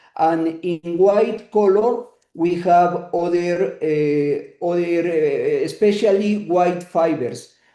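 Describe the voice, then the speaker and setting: A man speaks at a very slow pace with hardly any pauses, his voice high-pitched with a dark, mellow tone. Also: ordinary pitch variation. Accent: Spanish. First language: Spanish. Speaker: neuroanatomy lecturer. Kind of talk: lecture. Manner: halting, many filler sounds.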